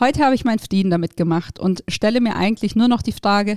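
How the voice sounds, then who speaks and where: In a very clean recording with a silent background, a woman speaks in a dark, mellow tone with ordinary pitch variation, the sound dry and close with no echo. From southern Germany, between Stuttgart and Ulm. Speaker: podcast host, startup founder. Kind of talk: personal storytelling monologue. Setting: studio.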